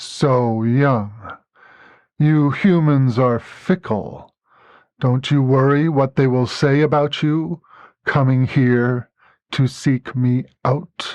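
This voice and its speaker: Using a put-on character voice at medium pitch, a man speaks very slowly with long, frequent pauses against a quiet background. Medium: read story. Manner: grave, unhurried, commanding.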